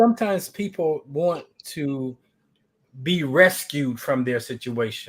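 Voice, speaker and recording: Speaking at a fairly slow pace, a man uses an ordinary speaking voice, fairly high in pitch, with lively intonation. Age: 60s. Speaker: life coach working with veterans. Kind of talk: casual chat. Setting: live stream.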